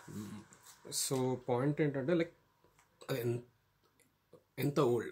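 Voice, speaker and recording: A man's somewhat breathy voice at a medium pitch, fairly slow in pace, with ordinary pitch variation. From India, Telugu-speaking region. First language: Telugu. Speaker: YouTuber giving study-abroad advice. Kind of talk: informal tutorial vlog. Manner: halting, many fillers.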